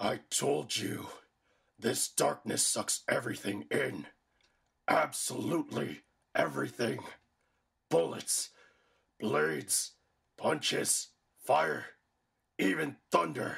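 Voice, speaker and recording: A man speaks in a raspy, cartoonish character voice with fairly low pitch, leaving long, frequent pauses. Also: fairly slow pace. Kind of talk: anime fandub acting. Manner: boastful, gloating, laughing.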